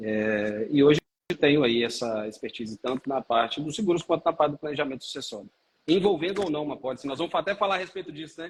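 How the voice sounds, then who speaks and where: Talking at a very fast pace with a Minas Gerais accent, a man has a fairly high pitch and lively intonation. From Minas Gerais, Brazil (Belo Horizonte). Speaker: lawyer and life insurance seller. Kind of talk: live stream interview. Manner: halting, many fillers.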